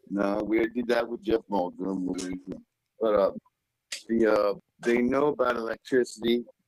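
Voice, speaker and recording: A man speaks in a Southern US accent at a fairly slow pace, with long, frequent pauses. His intonation is fairly even, and the sound is dry and close with no echo. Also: medium pitch for a man. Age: 50s. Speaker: caller. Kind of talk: live call-in story. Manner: halting.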